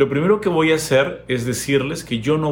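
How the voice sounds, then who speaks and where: Fairly slow delivery with ordinary pitch variation. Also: man. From Peru. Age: 40s. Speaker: YouTuber. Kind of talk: opinion monologue. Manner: hesitant fillers.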